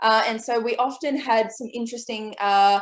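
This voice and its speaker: This woman speaks with an Australian accent and a fairly high pitch. Her pitch variation is ordinary. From Australia, New South Wales (Port Macquarie). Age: 20s. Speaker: author and illustrator. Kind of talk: online presentation with slides.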